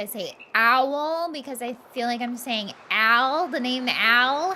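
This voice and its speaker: The tone is bright and sharp, with ordinary pitch variation. The pace is very slow. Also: woman. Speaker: gaming streamer. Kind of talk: casual chat. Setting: live stream. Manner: animated.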